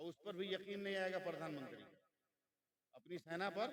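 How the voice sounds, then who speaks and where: The man's voice is high in pitch, with ordinary variation in its melody. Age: 60s. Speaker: Islamic preacher. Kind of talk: sermon.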